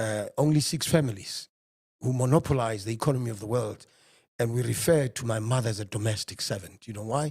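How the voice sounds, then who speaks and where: Speaking at a moderate pace, a man sounds somewhat breathy, with ordinary pitch variation. The sound is dry and close with no echo, on a very clean recording with a silent background. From South Africa, Johannesburg. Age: 50s. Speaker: economist. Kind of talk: interview. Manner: animated.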